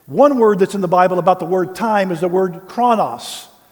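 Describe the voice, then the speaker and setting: An American man with a high-pitched voice talks at a moderate pace with ordinary pitch variation, and the room echo is audible. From US South, Tennessee. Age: 60s. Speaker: pastor. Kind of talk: sermon.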